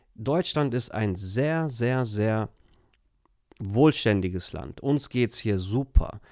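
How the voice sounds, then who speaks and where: Very slowly, a man speaks at a medium pitch with ordinary pitch variation. The recording is very clean, with a silent background. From Germany, Turkish family. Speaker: life coach. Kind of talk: casual interview.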